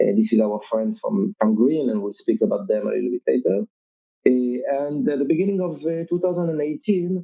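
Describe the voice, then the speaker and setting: Speaking at a fairly quick pace, a man with a French accent moves through very wide pitch swings. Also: fairly high pitch for a man. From Europe. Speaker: crypto company marketing executive. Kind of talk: podcast interview. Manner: halting, many fillers.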